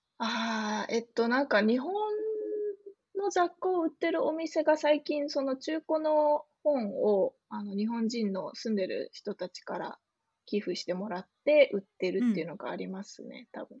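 A woman speaks at a moderate pace with a high pitch, very wide pitch swings and big swings in loudness. The sound is dry and close, with no echo. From Japan, Kanagawa (Yokohama). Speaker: software developer. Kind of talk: casual interview.

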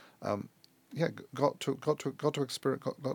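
With a London accent and vocal fry, a man speaks at a moderate pace in a dry, close sound with no echo. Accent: British English (London). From England, London. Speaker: airline executive. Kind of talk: interview. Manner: halting, many repetitions and restarts.

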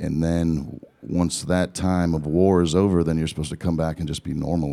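In an American accent, a man talks at a fairly quick pace with a very deep, low pitch, a dark, mellow tone and fairly even intonation. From Southern California. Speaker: singer-songwriter. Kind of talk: interview before audience. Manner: halting.

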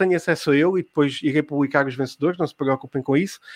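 This man talks at a very fast pace with a European Portuguese accent, and the sound is dry and close with no echo. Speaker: podcast host running a live quiz. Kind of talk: live-streamed casual chat and quiz hosting.

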